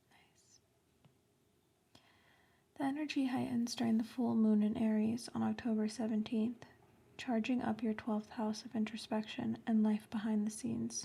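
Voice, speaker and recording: Soft-spoken whispering at a moderate pace. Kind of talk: horoscope reading. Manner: soft-spoken, whispered.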